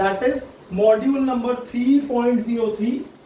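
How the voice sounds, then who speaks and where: The voice has ordinary pitch variation, with audible room echo and noticeable background noise. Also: man. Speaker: tax lecturer. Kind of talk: online lecture. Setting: online class. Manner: fast.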